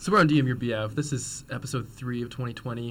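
A quiet man mumbles at a medium pitch with vocal fry. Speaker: radio show co-host. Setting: radio studio. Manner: quiet, mumbling.

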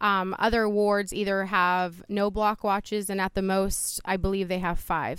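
A woman speaks with a Midwestern US accent at a medium pitch. Her moderate pace comes through on a very clean recording with a silent background. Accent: US Midwest. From Youngstown, Ohio (born in Poland). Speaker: city councilwoman. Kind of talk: interview. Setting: outdoors on a front porch. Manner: animated.

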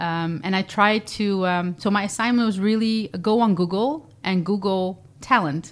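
Speaking with a Dutch accent at a fairly slow pace, a woman keeps a medium pitch with ordinary pitch variation and hardly any pauses. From Netherlands, Zeeland (Vlissingen). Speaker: nonprofit director and entrepreneur. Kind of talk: interview. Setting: studio. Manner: hesitant, many fillers.

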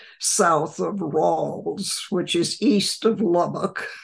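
Speaking at a very slow pace, a woman with an American accent talks in a fairly low pitch. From West Texas. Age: 90s. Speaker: retired therapist and sustainability culture leader. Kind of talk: interview. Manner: warm, laughs often.

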